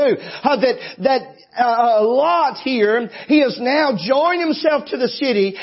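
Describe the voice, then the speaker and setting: Over noticeable background noise, a man talks in an animated tone with lively intonation and an extremely high pitch. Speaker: pastor. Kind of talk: sermon. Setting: church. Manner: animated, fervent preaching with emphatic delivery.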